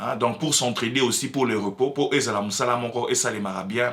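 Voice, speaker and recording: The voice moves at a fairly quick pace with ordinary pitch variation and a bright, sharp tone. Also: man. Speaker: political commentator. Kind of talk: opinion commentary. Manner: halting, many fillers; mixes French and Lingala.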